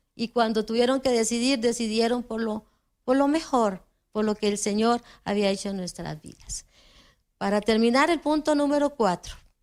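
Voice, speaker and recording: On a very clean recording with a silent background, a woman with a plain, everyday voice speaks at a moderate pace and a fairly high pitch with ordinary pitch variation. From Costa Rica. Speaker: preacher. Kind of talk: sermon.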